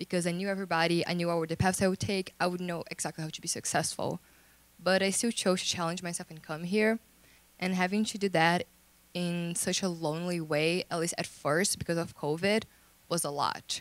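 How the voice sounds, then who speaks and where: A woman speaks in a fairly low, monotone voice with flat intonation. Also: fairly quick pace. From Brazil. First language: Portuguese. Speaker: international student panelist. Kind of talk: panel discussion. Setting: stage with audience.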